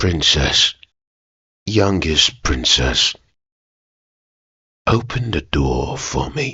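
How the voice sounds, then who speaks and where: A man does a put-on character voice, very deep and low, with very wide pitch swings. He speaks very slowly, leaving long, frequent pauses. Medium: read story. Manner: insistent, old-fashioned formal speech.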